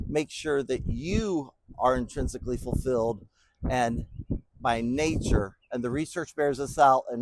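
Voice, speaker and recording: A man's plain, everyday voice at medium pitch and moderate pace, with ordinary pitch variation and a dry, close sound with no echo. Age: 60s. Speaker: business speaker. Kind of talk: motivational talk. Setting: bowling alley. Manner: casual, folksy.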